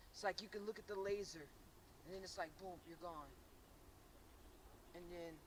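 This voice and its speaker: With noticeable background noise behind her, a woman at medium pitch speaks at a moderate pace with fairly even intonation, big swings in loudness and long, frequent pauses. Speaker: paranormal investigator. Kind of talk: on-site ghost investigation talk. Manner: halting, repeats words.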